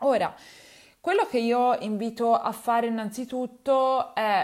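A woman is captured in a very clean recording against a silent background. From Tuscany, Livorno. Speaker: nutritionist podcast host. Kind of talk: solo advice podcast. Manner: hesitant, many fillers.

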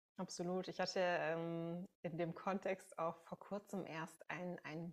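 Speaking very slowly, a woman keeps a fairly low pitch and fairly even intonation. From Münsterland, Germany. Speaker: podcast host. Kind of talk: podcast interview.

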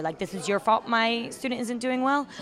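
This woman has an American accent and ordinary pitch variation. Noticeable background noise sits behind her. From Virginia, US (Chesapeake/Norfolk). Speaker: traveling English teacher. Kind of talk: casual interview chat. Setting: outdoors at open-air hostel.

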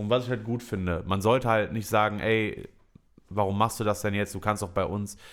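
A man with fairly low pitch and fairly even intonation talks in an ordinary speaking voice. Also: moderate pace. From Germany, Düsseldorf. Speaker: podcast host and comedy show organizer. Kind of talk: casual chat.

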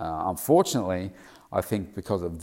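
A man with an Australian accent speaks with a very deep, low pitch. His pace is moderate and his pitch variation ordinary. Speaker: weight loss coach and daily podcaster. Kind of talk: solo daily vlog commentary. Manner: casual, filler-heavy (uh, um).

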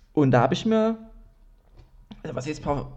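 A man talks very fast with vocal fry and a dark, mellow tone. His pitch sits fairly high. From Dresden, Saxony. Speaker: comedian and podcast host. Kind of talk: solo casual monologue. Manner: casual, many fillers.

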